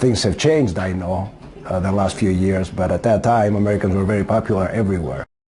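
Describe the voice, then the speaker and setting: A man speaks at a very fast pace with a Greek accent and ordinary pitch variation. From Greece. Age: 60s. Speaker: auto body worker. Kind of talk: interview. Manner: hesitant, with frequent fillers.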